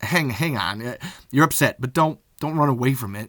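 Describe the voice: The pitch varies in an ordinary way in this plain reading aloud.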